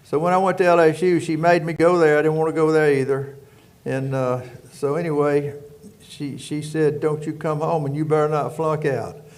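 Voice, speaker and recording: A man's fairly high voice in a Louisiana accent, monotone and flat, at a moderate pace with audible room echo. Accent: Louisiana Southern. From rural Louisiana. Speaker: prison warden. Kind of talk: casual chat.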